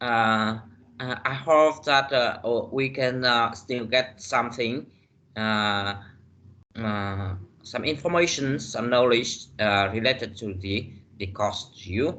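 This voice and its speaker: A man with a non-native accent at a very slow pace, with audible room echo. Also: medium pitch for a man, ordinary pitch variation. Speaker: university lecturer. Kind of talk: lecture. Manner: halting, many fillers.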